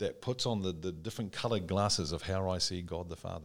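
On a very clean recording with a silent background, a man talks at a moderate pace. He has an ordinary speaking voice with ordinary pitch variation. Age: 60s. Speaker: podcast host. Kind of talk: casual chat.

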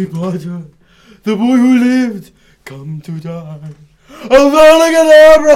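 In a put-on character voice with a fairly high pitch and very wide pitch swings, the speaker goes at a fairly slow pace with long, frequent pauses. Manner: menacing.

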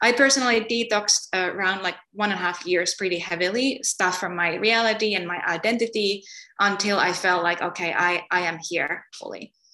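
Using a Finnish accent, a woman speaks at a fairly quick pace with hardly any pauses. Her tone is bright and sharp, at medium pitch with ordinary pitch variation. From Finland. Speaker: spiritual healer. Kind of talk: interview.

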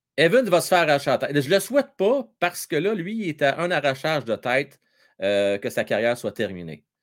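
A man with a Quebec accent, fairly high in pitch, at a fairly quick pace, with very wide pitch swings and vocal fry. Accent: Québécois French. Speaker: hockey livestream host. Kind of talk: live sports talk with callers. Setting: live stream. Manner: animated.

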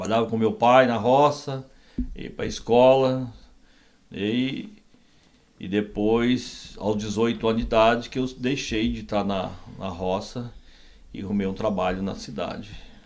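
In a room with audible echo, a man speaks at a fairly slow pace with long, frequent pauses, his medium pitch showing ordinary variation. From Brazil, southern Minas Gerais (rural). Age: 60s. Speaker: pastor. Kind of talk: interview, testimony.

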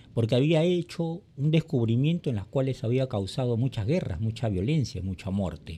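A man talks at a moderate pace in a dark, mellow, somewhat breathy voice, his pitch swinging very widely. The recording is very clean, with a silent background. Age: 60s. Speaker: podcast host, personal development. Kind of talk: monologue commentary.

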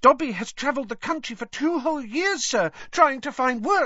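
In a squeaky, high-pitched put-on character voice, the speaker goes at a moderate pace. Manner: pleading.

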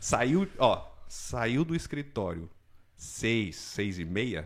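In a São Paulo accent, a man with a fairly low voice and vocal fry speaks with lively intonation. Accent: Paulistano Brazilian Portuguese. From Brazil, São Paulo city. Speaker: immigration consultancy owner. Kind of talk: casual chat.

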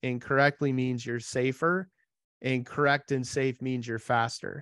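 A man with an unremarkable speaking voice talks at a medium pitch with fairly even intonation, the sound dry and close with no echo over a quiet background. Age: 40s. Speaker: podcast host. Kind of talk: interview.

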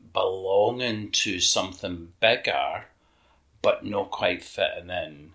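Very slow speech with a Scottish accent. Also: man. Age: 50s. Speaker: LGBTQ activist. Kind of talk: interview reminiscence.

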